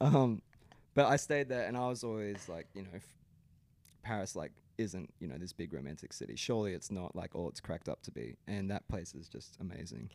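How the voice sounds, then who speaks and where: Talking at a fairly quick pace with an Australian accent, a man uses a fairly low pitch with vocal fry, very wide pitch swings and big swings in loudness. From Brisbane, Australia. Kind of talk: casual interview chat.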